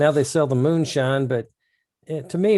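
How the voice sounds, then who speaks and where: The recording is very clean, the background silent. A man with an American accent speaks at a fairly quick pace in a dark, mellow tone. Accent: rural Missouri accent, noticed by others. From rural Missouri. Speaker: podcast co-host. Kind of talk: casual chat.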